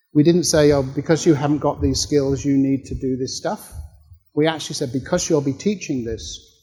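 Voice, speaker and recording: Somewhat breathy and dark, mellow in tone, a man talks at a fairly quick pace in a fairly high pitch with ordinary pitch variation. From Australia. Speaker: professor. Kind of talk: workshop Q&A answer.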